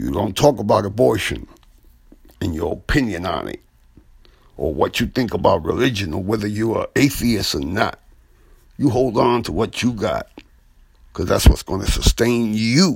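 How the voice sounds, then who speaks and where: A man with a fairly low voice speaks at a moderate pace with lively intonation and vocal fry. He leaves long, frequent pauses. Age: 60s. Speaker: radio host and former teacher. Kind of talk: radio commentary.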